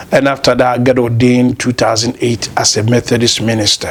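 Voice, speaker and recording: A man at medium pitch talks fairly quickly over noticeable background noise. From Ghana, Kumasi. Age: 50s. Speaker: lawyer and former pastor. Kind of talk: interview, life story.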